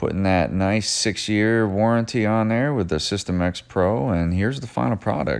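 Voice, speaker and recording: A man talks at a fairly low pitch and a moderate pace. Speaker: auto detailer and shop owner. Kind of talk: voiceover narration of detailing video. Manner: monotone; hesitant, many fillers.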